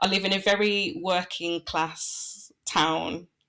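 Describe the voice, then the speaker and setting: A woman with a bright, sharp tone, vocal fry and fairly even intonation comes through on a very clean recording with a silent background. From English Midlands. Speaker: branding and website designer. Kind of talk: podcast interview.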